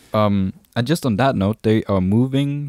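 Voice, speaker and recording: Speaking fairly slowly with a Danish accent, a man uses a fairly low pitch, a dark, mellow tone and lively intonation in a very clean, dry, close recording with a silent background and no echo. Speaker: podcast co-host. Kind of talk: casual chat. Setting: live stream.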